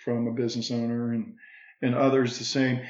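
A man talks at a moderate pace. Room echo can be heard. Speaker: financial services business owner. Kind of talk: casual interview conversation.

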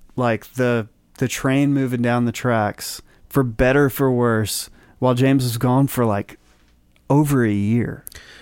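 Here a man talks at medium pitch and a fairly slow pace. The sound is dry and close with no echo, on a very clean recording with a silent background. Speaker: record producer. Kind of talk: casual chat. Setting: studio. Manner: soft-spoken.

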